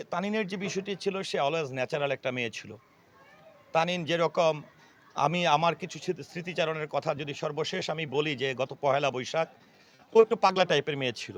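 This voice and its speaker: Male speech pitched fairly high, with normal variation in pitch. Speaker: actor. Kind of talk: interview. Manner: halting.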